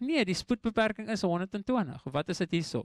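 A man with an English accent, high-pitched and lively in intonation, in a dry, echo-free recording over a quiet background. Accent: English-speaker's accent in Afrikaans. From South Africa, Eastern Cape Karoo (Graaff-Reinet); Eastern Cape, South Africa. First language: English (speaking Afrikaans). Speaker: preacher. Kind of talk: sermon. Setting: church. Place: church. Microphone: handheld.

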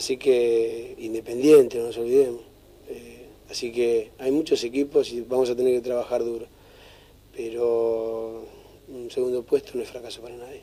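A man at a moderate pace with flat, monotone intonation. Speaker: football coach. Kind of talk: interview answer. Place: home room.

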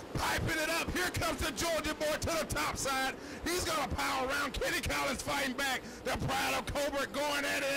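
Speech at a moderate pace comes through with noticeable background noise. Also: man. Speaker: dirt track race announcer, color commentator. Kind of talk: live race announcing, play-by-play. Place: stadium.

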